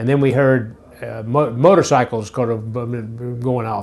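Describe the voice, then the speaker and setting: With a Memphis accent, a man talks at a medium pitch with ordinary pitch variation. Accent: Southern US (Memphis). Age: 60s. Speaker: interviewee recalling childhood. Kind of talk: oral history interview. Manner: halting, many repetitions and fillers.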